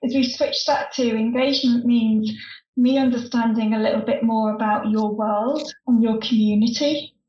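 A high-pitched woman with a northern English accent at a moderate pace, with audible room echo. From northern England. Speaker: former stand-up comedian, humour consultant. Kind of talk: casual chat.

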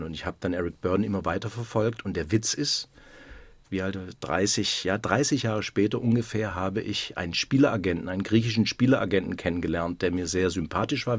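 In a plain, everyday voice, a man talks at a fairly quick pace with fairly low pitch and ordinary pitch variation, on a very clean recording with a silent background. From Württemberg, near Stuttgart. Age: 50s. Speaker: basketball club manager. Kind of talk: radio interview.

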